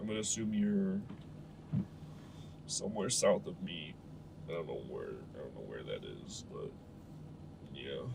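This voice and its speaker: Long, frequent pauses break up a man's speech at a moderate pace. Audible room echo and noticeable background noise fill the recording. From Canada, Ontario. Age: 20s. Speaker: streamer. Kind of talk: casual chat. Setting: live stream. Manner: casual, slangy.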